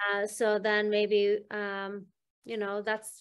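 A woman talks at a moderate pace. Behind her the background is quiet. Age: 50s. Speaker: hypnosis healing practitioner, interviewer; interviewer. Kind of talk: interview. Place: home room. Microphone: video call.

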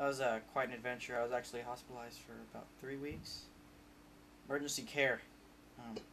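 With a bright, sharp tone, a man speaks in a flat monotone over light background noise. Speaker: mock interview subject. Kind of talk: comedic mock interview answer. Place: home room. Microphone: camera far.

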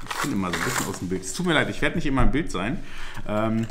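Over clear background noise, a man speaks fast in a fairly low voice with big pitch swings.

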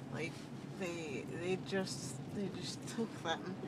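A woman's voice with ordinary pitch variation sounds dry with no echo, though noticeable background noise can be heard. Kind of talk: casual rambling chat. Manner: slurred, dazed talk through swollen cheeks. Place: car. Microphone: phone near.

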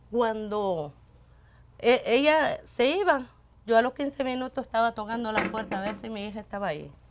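A woman with a Salvadoran accent speaks at a fairly high pitch, her intonation lively and her loudness swinging widely. Faint music plays in the background. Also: moderate pace. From El Salvador. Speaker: radio station worker. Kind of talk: interview, personal life story. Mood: warm, animated storytelling. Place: studio.

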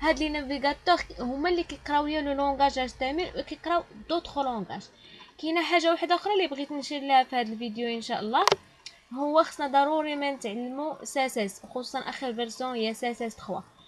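Against noticeable background noise, a woman talks at a very fast pace in a high pitch with ordinary pitch variation. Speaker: programming teacher. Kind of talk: tutorial.

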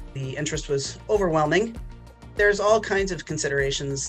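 Clear music plays in the background. The speech moves at a fairly quick pace. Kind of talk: interview answer. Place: home room. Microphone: webcam.

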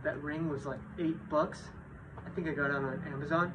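This man's intonation stays fairly even. Behind him, background noise is noticeable. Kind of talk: casual tutorial. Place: garage. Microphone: phone near.

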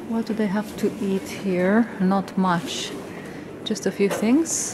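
A woman's voice at a very slow pace, ordinary pitch variation, noticeable background noise behind it. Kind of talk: casual vlog chat. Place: hall. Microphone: phone near.

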